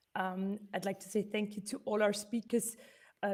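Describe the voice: A woman's medium pitch and slightly mellow tone, with fairly even intonation at a moderate pace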